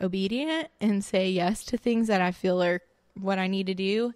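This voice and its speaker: An unremarkable speaking voice from a woman with an American accent, ordinary pitch variation, a fairly slow pace, and a very clean recording with a silent background. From South Florida, Lake Okeechobee. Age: 20s. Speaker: podcast guest. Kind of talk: casual chat.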